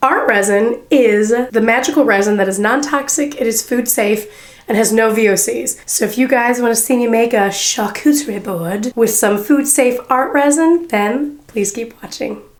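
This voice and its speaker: A woman with a fairly high pitch talks at a moderate pace with ordinary pitch variation while noticeable background noise plays. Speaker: crafting YouTuber. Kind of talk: tutorial. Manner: animated.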